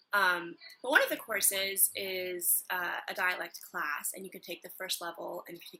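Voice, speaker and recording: Speaking at medium pitch in a bright, sharp tone with a slight Midwestern accent, a woman barely pauses and swings widely in loudness. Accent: slight Midwest American. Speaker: acting student vlogger. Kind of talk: casual vlog.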